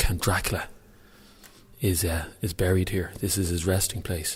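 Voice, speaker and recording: A man whispering in a Dublin accent at a moderate pace, with audible room echo. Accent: Dublin Irish. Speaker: radio host. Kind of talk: live on-location radio report. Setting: outdoors at a monastery, then inside a church. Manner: whispering in church.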